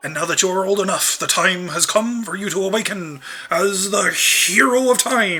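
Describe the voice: This is plain reading aloud. Pitch varies in an ordinary way.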